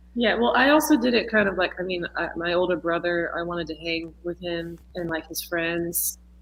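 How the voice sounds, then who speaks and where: A woman with an American accent speaks with hardly any pauses over noticeable background noise. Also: fairly low pitch for a woman, ordinary pitch variation, moderate pace. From Texas. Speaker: musician and dancer. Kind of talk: casual interview chat. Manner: halting, many fillers.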